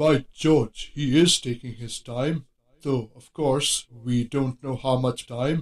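A plain read-aloud delivery

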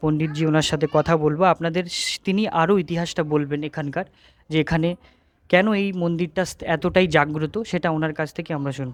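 A man with a fairly high voice speaks with fairly even intonation in a very clean recording over a silent background. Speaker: travel vlogger. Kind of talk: travel vlog narration. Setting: outdoors at a temple. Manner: casual, unscripted.

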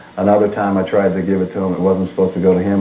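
A man's very deep, low voice amid audible room echo and light background noise. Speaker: guest. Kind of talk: interview answer. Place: studio.

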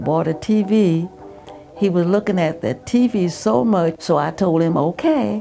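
Faint music plays in the background. A woman with an American accent speaks in a fairly low pitch. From Southern United States. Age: 80s+. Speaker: retired real estate agent and nurse. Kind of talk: oral history interview answer. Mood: warm, amused storytelling. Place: home room.

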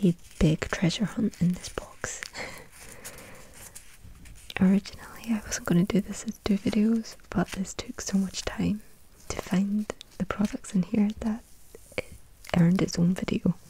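Soft-spoken delivery at a moderate pace, with long, frequent pauses, dry sound with no echo and light background noise. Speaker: unboxing creator. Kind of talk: soft unboxing chat, ASMR-like. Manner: soft-spoken, hushed ASMR narration.

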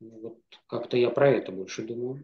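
A man speaks at a medium pitch and a fairly quick pace. His pitch varies in an ordinary way.

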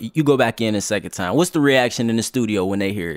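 The speaker is a man. The sound is dry, with no echo. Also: quiet background. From Newport News, Virginia; Virginia. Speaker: podcast host. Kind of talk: casual interview. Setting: studio. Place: studio. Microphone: studio mic.

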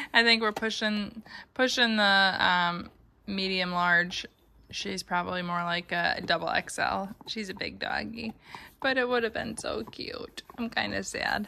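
The voice has a bright, sharp tone and ordinary pitch variation. It moves at a very slow pace over light background noise. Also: woman. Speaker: mom vlogger. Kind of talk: casual vlog chat. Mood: cheerful, amused. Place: home room. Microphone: phone near.

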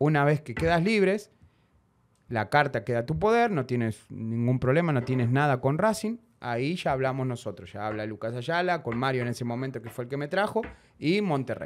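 A man with a plain, everyday voice, medium in pitch with lively intonation, at a fairly quick pace over light background noise. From Argentina. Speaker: former footballer; guest. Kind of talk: interview. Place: studio. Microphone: studio mic.

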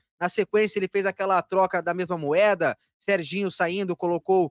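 With a quiet background and a dry sound with no echo, a man talks at a moderate pace in a high pitch. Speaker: radio host. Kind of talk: radio sports show hosting; sports radio commentary. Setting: studio. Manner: animated. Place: studio. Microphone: studio mic.

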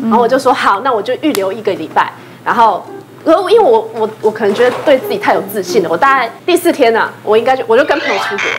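Over noticeable background noise, a woman talks at a very fast pace with lively intonation and a fairly high pitch. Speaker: entertainer, dancer; talk show guest. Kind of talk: casual talk show chat. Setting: studio. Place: studio. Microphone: lapel.

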